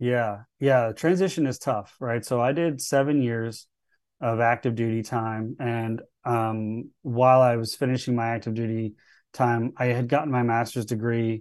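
A plain, everyday voice from a man with an American accent, medium pitch and fairly even intonation, at a moderate pace over a quiet background. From US South, Charleston, South Carolina. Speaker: Marine veteran and cybersecurity executive. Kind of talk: interview conversation.

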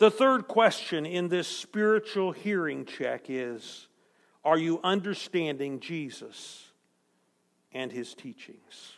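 On a very clean recording with a silent background, a man speaks very slowly at a high pitch, with lively intonation and big swings in loudness. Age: 60s. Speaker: preacher. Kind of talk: sermon. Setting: church. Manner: repeats words, self-corrects.

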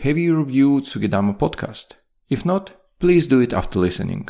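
A man with a non-native accent swings his pitch very widely. The recording is very clean, with a silent background. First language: not English. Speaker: podcast host. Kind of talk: scripted podcast narration with sponsor read. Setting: home or studio recording, single take.

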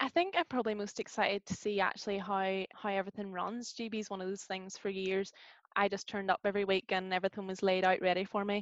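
A woman with a Northern Irish accent, very fast and monotone, her medium-pitched voice dry and close with no echo. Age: 20s. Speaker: university student and youth group leader. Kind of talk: casual interview.

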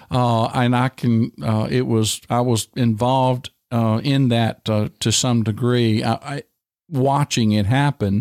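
A man with a Virginia accent, fairly slow and fairly even in intonation, very even in loudness, on a very clean recording with a silent background. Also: medium pitch for a man, dry, close sound with no echo. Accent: Southern US (Virginia). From US South, rural southern Virginia. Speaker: pastor. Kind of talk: interview, personal testimony. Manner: halting, many fillers.

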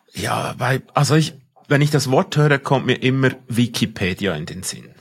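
A man speaks with a Swiss accent at a fairly slow pace. His pitch sits in the medium range. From Switzerland. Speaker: podcast co-host. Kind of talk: casual discussion.

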